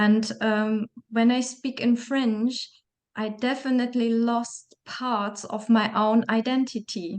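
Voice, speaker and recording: A woman with a German accent speaks at a very slow pace. Her fairly high voice stays monotone and flat. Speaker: interviewer. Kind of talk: interview. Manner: halting.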